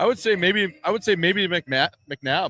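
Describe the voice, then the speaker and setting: Shouting in a bright, sharp tone with ordinary pitch variation, a man comes through on a very clean recording with a silent background. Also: dry, close sound with no echo. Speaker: former hockey player, podcast host. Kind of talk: casual chat. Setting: outdoors outside arena. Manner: loud, yelling.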